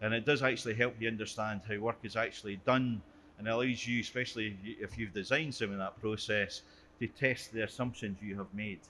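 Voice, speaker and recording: Speaking with a Scottish accent, a man moves at a fairly quick pace in a medium pitch. His tone is bright and sharp, and his intonation fairly even. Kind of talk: conference presentation.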